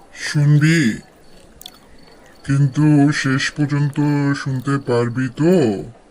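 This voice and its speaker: A man puts on a cartoonish character voice with a fairly high pitch. He delivers it at a very slow pace. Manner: slow, ominous storytelling.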